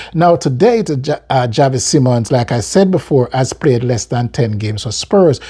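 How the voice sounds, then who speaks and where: Speaking in an American accent, a man with a medium pitch and ordinary pitch variation has a somewhat breathy voice and a dark, mellow tone. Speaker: football fan commentator. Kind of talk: casual video commentary. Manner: halting, frequent repetitions and fillers.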